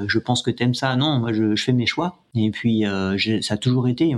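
A man speaks at a fairly quick pace in a medium pitch, his pitch varying in an ordinary way. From France, Yvelines. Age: 50s. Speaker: ultra trail runner. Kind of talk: interview. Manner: halting, many repetitions.

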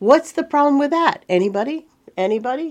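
The background stays quiet. Speaking here is a woman. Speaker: marketing consultant. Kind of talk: casual video tips monologue.

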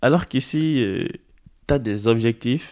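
In a very clean recording with a silent background, a man speaks at a medium pitch with ordinary pitch variation in an unremarkable speaking voice. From Benin, Porto-Novo. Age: 20s. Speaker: student on civic service at a basketball club. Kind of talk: interview.

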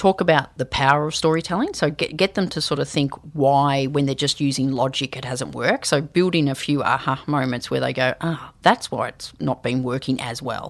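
Speaking at a fairly quick pace with an Australian accent, this woman has a very deep, low pitch and ordinary pitch variation. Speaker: leadership and storytelling consultant. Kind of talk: interview. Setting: studio.

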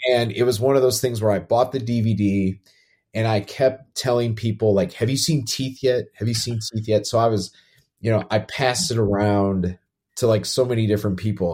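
A man's medium-pitched voice, somewhat breathy and dark, mellow in tone, moves at a moderate pace with fairly even intonation. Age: 40s. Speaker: podcast co-host, film industry worker. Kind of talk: casual chat. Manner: halting, many fillers.

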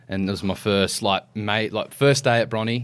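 A man with an Australian accent, fairly low-pitched, at a moderate pace. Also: very clean recording, silent background. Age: 20s. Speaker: firefighter and lifeguard. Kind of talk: casual interview chat.

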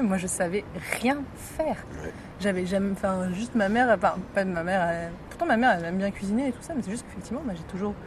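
A woman talks at a very fast pace with ordinary pitch variation, broken by long, frequent pauses. Noticeable background noise sits under her voice. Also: medium pitch for a woman. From Morocco. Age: young. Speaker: podcast host. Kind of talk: casual chat. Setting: outdoors, hotel terrace.

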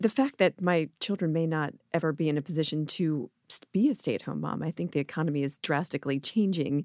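Her very deep, low voice races along at a very fast pace with hardly any pauses, captured dry and close with no echo on a very clean recording over a silent background. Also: ordinary pitch variation. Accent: American. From US Mid-Atlantic, rural suburban Maryland. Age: 40s. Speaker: entrepreneur, parenting website founder. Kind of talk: casual interview chat.

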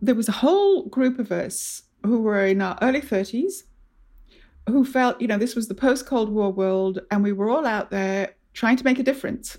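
A woman speaks in a normal speaking voice at a fairly high pitch and moderate pace, with ordinary pitch variation, in a very clean recording with a silent background. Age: 50s. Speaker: podcast host. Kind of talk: interview.

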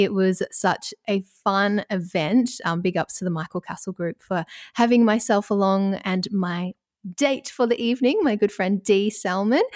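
Recorded very cleanly against a silent background, a woman speaks at a moderate pace in a medium pitch with ordinary pitch variation and a dry, close sound with no echo. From Australia, Ballarat. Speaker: radio presenter and podcast host. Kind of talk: casual chat. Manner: calm, mellow tone.

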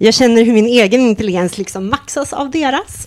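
Moderately paced speech from a woman, high in pitch and with ordinary pitch variation. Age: 30s. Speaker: podcast co-host. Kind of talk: casual chat.

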